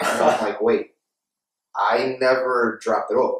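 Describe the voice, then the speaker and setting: A man is speaking. Audible room echo surrounds his voice, though the background stays quiet. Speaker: podcast host telling a story. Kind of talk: casual podcast banter. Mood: amused, joking storytelling. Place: home room.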